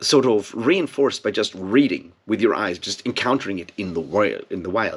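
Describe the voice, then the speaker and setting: The speaker has a non-native accent. Their intonation is lively. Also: man. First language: not English. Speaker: booktube video host. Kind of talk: casual monologue to camera. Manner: hesitant, many fillers and repeats.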